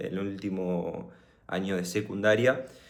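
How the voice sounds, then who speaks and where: Audible room echo surrounds a man speaking in a Rioplatense accent. His pitch is fairly low and his intonation fairly even. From Argentina, Buenos Aires. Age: 20s. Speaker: motivational vlogger. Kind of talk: personal story monologue. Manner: casual, hesitant with fillers.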